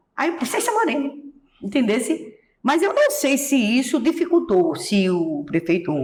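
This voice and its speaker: With a Pernambuco accent, a woman talks in very wide pitch swings. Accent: Pernambuco Brazilian Portuguese. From Pernambuco, Brazilian Northeast. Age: 70s. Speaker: singer and accordionist. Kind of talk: interview.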